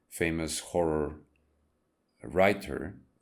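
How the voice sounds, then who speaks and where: In a non-native accent, a man with a very deep, low pitch speaks at a very slow pace. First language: not English. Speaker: YouTuber and comic book artist. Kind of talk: casual monologue. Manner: halting, many fillers.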